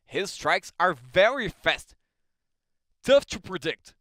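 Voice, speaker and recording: A man speaks with a Brazilian Portuguese accent, animated and with ordinary pitch variation. His tone is bright and sharp, the sound dry and close with no echo. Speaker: combat sports commentator. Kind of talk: live commentary.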